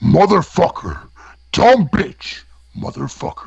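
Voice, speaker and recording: A man talks fairly slowly in a put-on character voice. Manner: aggressive.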